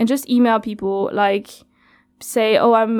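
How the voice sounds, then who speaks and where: Over a silent background in a very clean recording, a woman speaks fairly slowly in a fairly high, monotone voice with flat intonation. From France. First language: French. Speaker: community radio worker. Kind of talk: interview. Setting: studio.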